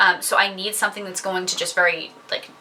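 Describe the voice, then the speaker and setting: Amid noticeable background noise, a woman speaks at a moderate pace and a medium pitch. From New England. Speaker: beauty vlogger. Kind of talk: product review monologue. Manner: casual with many fillers.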